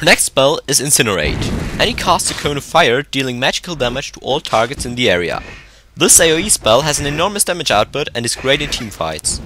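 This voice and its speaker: Against noticeable background noise, a man with a fairly high pitch talks at a fairly quick pace with lively intonation. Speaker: game guide commentator. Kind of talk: game tutorial narration. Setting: old headset microphone.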